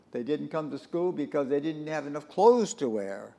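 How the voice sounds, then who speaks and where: In an American accent, a man talks at a fairly high pitch with a dark, mellow tone. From Southern California. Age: 90s. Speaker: war-era internment survivor sharing memories. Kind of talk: interview, oral history. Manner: halting, many repetitions and fillers.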